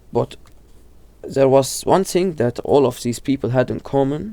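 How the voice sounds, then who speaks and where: At a fairly slow pace, a man speaks in a dark, mellow tone. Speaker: horror video explainer. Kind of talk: casual video commentary. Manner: halting, many self-corrections.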